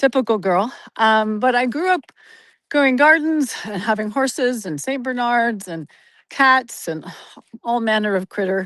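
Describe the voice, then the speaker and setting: Against a quiet background, a woman with an American accent speaks at a fairly slow pace. She has a plain, everyday voice and lively intonation. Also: fairly high pitch for a woman. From US Pacific Northwest (Oregon). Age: 60s. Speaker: interview guest. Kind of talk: casual interview chat. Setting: outdoors on a forest trail, video call.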